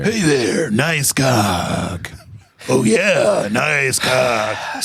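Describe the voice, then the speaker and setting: A man puts on a raspy character voice at medium pitch, speaking at a very slow pace. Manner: cocky, macho.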